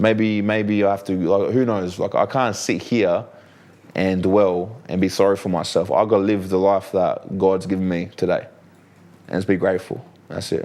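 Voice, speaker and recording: Someone speaks at a moderate pace with an Australian accent. The intonation is monotone and flat. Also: man, fairly low pitch for a man. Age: 30s. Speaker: professional fighter. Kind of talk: podcast interview. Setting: studio. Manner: sometimes slurs words.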